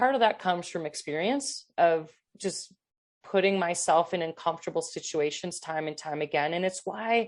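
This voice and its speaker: This woman has a normal speaking voice with a fairly low pitch and ordinary pitch variation. She talks at a moderate pace against a quiet background. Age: 50s. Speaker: endurance athlete. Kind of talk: interview.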